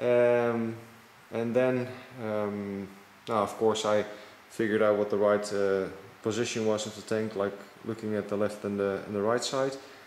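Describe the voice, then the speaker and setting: With audible room echo, a man at a fairly low pitch talks in a flat monotone at a moderate pace, leaving long, frequent pauses. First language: not English. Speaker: motorcycle hobbyist mechanic. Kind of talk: tutorial. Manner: halting, many fillers.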